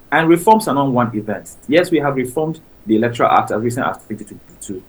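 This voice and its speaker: The man's intonation is lively. He talks at a very fast pace. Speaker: civil society communications officer. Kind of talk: radio interview.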